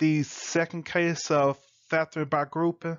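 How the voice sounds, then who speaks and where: A man with a high-pitched voice. He talks at a fairly slow pace. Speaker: math teacher. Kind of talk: lecture. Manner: casual, conversational.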